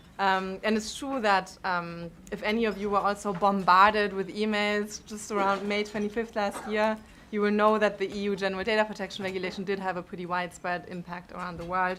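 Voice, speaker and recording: The voice has a strong German accent and a very fast pace. Its intonation is monotone and flat, with big swings in loudness. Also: woman. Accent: thick German. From Germany. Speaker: panelist on technology policy. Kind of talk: conference panel talk. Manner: frequent filler words (um, uh).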